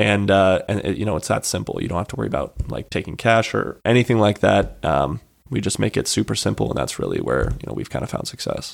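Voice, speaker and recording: On a very clean recording with a silent background, a man speaks at a very fast pace with hardly any pauses. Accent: American. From Colorado. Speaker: startup founder. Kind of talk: casual interview. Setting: studio.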